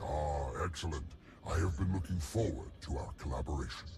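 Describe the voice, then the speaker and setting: Over loud background noise, a man growls in a put-on character voice with a very deep, low pitch. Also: moderate pace. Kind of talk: game voice acting. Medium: video game. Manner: formal, condescending, elaborate diction.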